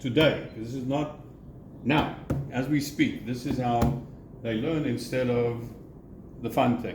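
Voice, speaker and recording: Audible room echo surrounds a man's voice. He talks at a fairly slow pace with fairly even intonation. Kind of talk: casual chat.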